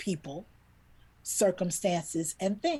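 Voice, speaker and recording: Somewhat breathy and animated, a woman speaks with an American accent. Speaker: children's book illustrator. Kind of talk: interview storytelling.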